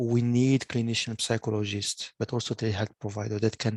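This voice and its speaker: In a French accent, a man talks at a medium pitch with monotone, flat intonation, the sound dry and close with no echo. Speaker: online meeting host, digital health. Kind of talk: video call presentation. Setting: video call. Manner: halting, many repetitions.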